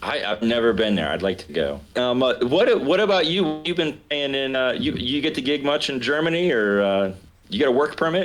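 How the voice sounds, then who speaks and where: At a moderate pace, a man with a Southern US accent speaks at medium pitch, his voice making very wide pitch swings. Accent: mild Southern. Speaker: jazz pianist and local politician. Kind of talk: casual chat.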